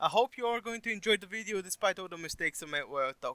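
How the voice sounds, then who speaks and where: A man talks at a very fast pace with a non-native accent and a bright, sharp tone. His pitch varies in an ordinary way, and the sound is dry and close with no echo. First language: not English. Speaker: gaming YouTuber. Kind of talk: tutorial. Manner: casual, halting at times.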